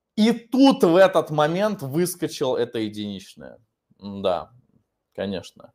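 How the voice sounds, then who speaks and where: Against a quiet background, a man speaks very slowly at a fairly high pitch with very wide pitch swings. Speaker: English teacher. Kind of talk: online lesson, Q&A. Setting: online video class. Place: classroom. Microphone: webcam.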